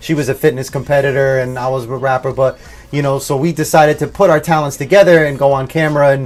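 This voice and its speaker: A man's fairly high voice at a very fast pace with fairly even intonation, amid noticeable background noise. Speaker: rapper and couple vlogger. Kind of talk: casual interview chat. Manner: loud, projecting voice.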